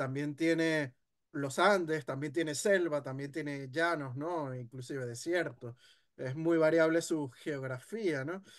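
A man speaks at a fairly slow pace in a fairly high pitch with ordinary pitch variation. The background is quiet. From Venezuela. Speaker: history content creator; guest. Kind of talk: casual discussion. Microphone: video call.

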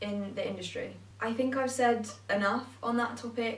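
The speaker has an English accent and monotone, flat intonation at a moderate pace. Room echo is audible. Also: woman. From England. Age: young. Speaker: vlogger. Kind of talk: personal vlog monologue. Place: home room.

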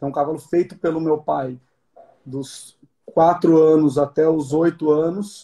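Against a quiet background, a man speaks in a dark, mellow, somewhat breathy tone with monotone, flat intonation. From Brazil. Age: 30s. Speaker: show jumping rider; interviewee. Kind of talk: interview. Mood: calm, reflective. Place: home room. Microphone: phone near.

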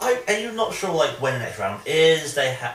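A man's fairly high, fairly bright voice with big pitch swings at a moderate pace, amid strong room echo

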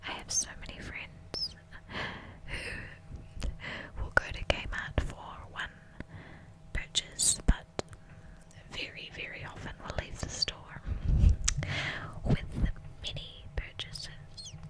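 A woman's whispering at a very slow pace, full of long, frequent pauses. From New Zealand. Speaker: ASMR artist. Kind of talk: ASMR whisper video. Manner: whispered, soft. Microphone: studio mic.

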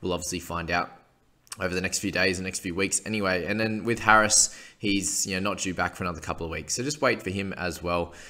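Over a quiet background, a man with a very deep, low pitch speaks very fast in a bright, sharp tone with fairly even intonation. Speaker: fantasy sports analyst. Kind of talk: commentary. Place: home room. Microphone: webcam.

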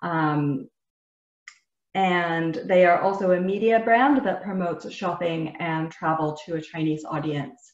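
A woman speaks at a fairly slow pace. The background is quiet, with audible room echo. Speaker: webinar host. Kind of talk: webinar presentation. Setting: video call. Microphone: webcam.

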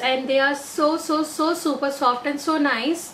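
With light background noise, a woman speaks at a high pitch and a fairly slow pace with ordinary pitch variation. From India. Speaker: beauty vlogger. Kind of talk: product haul video. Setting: in an auto rickshaw. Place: home room. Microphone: phone near.

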